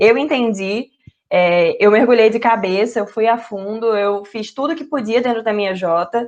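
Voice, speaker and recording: Speaking with a Recife accent, a woman with a fairly high pitch talks at a fairly slow pace with ordinary pitch variation. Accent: Recife (Pernambuco). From Brazil, Recife (Northeast). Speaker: junior enterprise trainer, innovation professional. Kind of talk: online training talk.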